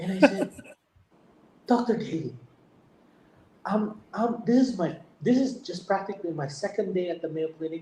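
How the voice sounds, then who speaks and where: A man with a Filipino accent speaks at a moderate pace in a high voice with a dark, mellow tone, lively intonation and long, frequent pauses. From Philippines. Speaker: heart surgeon. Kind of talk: testimony. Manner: halting, repetitive.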